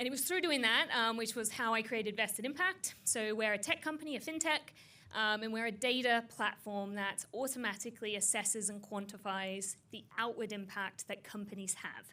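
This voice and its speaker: This woman has a bright, sharp tone and a fairly high pitch. She speaks at a moderate pace in an Australian accent. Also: ordinary pitch variation, hardly any pauses. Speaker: tech founder. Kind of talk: panel discussion. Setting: stage with audience.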